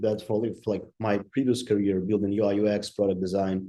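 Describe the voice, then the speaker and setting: A man's dark, mellow voice, fairly low in pitch, at a moderate pace. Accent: Ukrainian. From Ukraine. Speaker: digital designer and entrepreneur. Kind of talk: interview. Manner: halting, many fillers.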